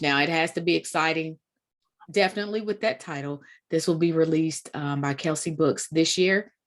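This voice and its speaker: In a Kentucky accent, a woman talks at a fairly quick pace. Her voice is fairly low, with fairly even intonation. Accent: country Kentucky. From Kentucky, Woodford County. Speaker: literary event host. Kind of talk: event introduction. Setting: video call.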